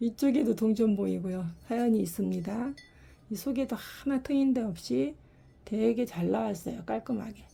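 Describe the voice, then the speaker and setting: A woman speaks at a moderate pace with lively intonation and a fairly high pitch. Her voice is somewhat breathy, with a dark, mellow tone. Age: 60s. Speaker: ceramic pot maker selling own work. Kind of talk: product showcase sales talk. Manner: casual, unedited one-take talk.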